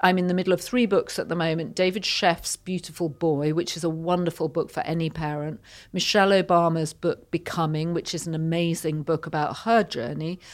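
A woman with a British accent talks at a fairly quick pace in a fairly low voice, her intonation fairly even, on a very clean recording with a silent background. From Yorkshire, northern England. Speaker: magazine editor and media executive. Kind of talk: interview conversation. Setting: studio.

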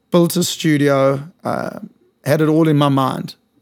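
With a South African accent, this man talks in a fairly high pitch and fairly even intonation. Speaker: fitness studio founder. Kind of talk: casual interview chat. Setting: studio.

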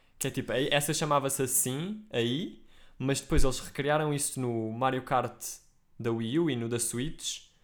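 With an ordinary speaking voice, the speaker goes at a fairly slow pace with ordinary pitch variation. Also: man, medium pitch for a man. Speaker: podcast co-host. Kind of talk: casual chat.

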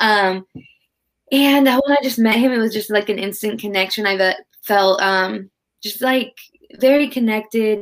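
This woman has a fairly high voice with ordinary pitch variation. Her pace is moderate. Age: 20s. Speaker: yoga instructor and personal trainer. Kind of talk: casual chat.

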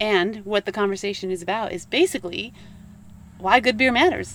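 A woman with an unremarkable speaking voice talks with ordinary pitch variation. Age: 50s. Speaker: podcast host. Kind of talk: casual chat.

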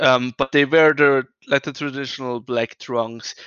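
Speaking at a moderate pace, a man with a plain, everyday voice has a fairly high pitch. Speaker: wrestling podcast co-host. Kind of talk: casual chat.

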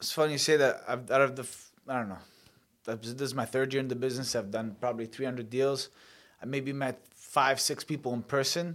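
On a very clean recording with a silent background, a man with a normal speaking voice talks at medium pitch and a fairly quick pace, his intonation fairly even. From Sicily, Italy, then Canada from childhood. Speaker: mortgage agent and former pro boxer. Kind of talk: interview.

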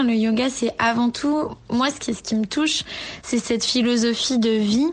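A woman's high voice at a fairly slow pace, with fairly even intonation. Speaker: yoga teacher. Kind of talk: voice note testimony.

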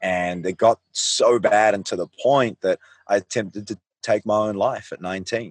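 A man speaks with a New Zealand accent at a fairly slow pace. The sound is dry and close, without echo. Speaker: life coach. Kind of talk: interview. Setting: video call.

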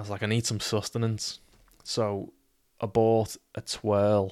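In a Liverpool accent, the speaker keeps a moderate pace and a monotone, flat intonation, leaving long, frequent pauses, on a very clean recording with a silent background. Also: man. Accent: Scouse (Liverpool). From Liverpool, England. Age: 20s. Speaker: podcaster. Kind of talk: casual storytelling monologue. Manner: casual, sweary.

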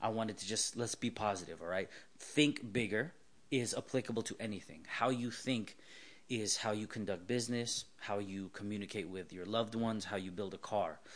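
Ordinary pitch variation marks this man's fairly low voice, delivered at a fairly quick pace with a Californian accent. The background is quiet. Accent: Californian American. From Southern California. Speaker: car builder and automotive writer. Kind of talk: casual interview.

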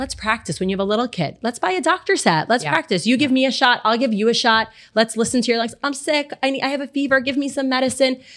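Very fast, lively speech with an American accent, on a very clean recording with a silent background. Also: woman. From Miami, Florida. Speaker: physician assistant. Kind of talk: podcast interview.

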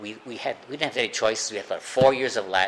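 With an American accent, a man talks at a medium pitch with ordinary pitch variation over noticeable background noise. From US Midwest, Chicago. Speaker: recovering alcoholic speaker. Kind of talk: recovery meeting talk. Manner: halting.

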